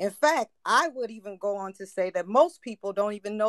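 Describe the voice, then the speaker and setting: A woman's fairly high voice with lively intonation at a moderate pace, a normal speaking voice, dry and close with no echo. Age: 40s. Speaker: caller. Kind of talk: casual chat.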